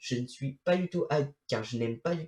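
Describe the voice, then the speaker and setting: Ordinary pitch variation runs through this man's speech. His voice is somewhat breathy. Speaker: YouTuber, film commentator. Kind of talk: video review monologue. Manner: halting, many fillers and restarts.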